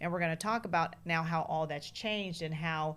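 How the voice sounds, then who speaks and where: A woman with an unremarkable speaking voice talks at a fairly quick pace with a fairly low pitch and fairly even intonation. The recording is very clean, with a silent background. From Oakland, California. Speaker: media executive. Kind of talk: interview.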